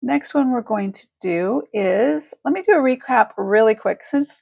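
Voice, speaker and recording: A woman with an American accent speaks at a fairly slow pace in a fairly high pitch, her pitch swinging very widely, in a dry, close sound with no echo. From Northern California. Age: 50s. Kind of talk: live shopping stream. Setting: live video stream.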